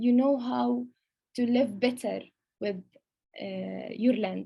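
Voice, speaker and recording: With a Palestinian accent, a woman speaks at a fairly high pitch in a somewhat breathy voice. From Palestine. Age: 20s. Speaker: lawyer and food heritage researcher. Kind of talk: online presentation. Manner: halting, many fillers.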